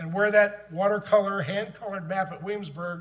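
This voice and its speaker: A man speaks with fairly even intonation in audible room echo. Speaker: book author and conference speaker. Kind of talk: conference talk.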